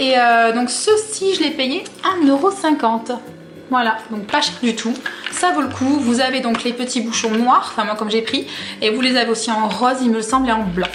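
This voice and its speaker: Over background music and audible room echo, a woman speaks enthusiastically at a high pitch and moderate pace with ordinary pitch variation. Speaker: fashion haul vlogger. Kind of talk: product haul video. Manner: casual, many fillers.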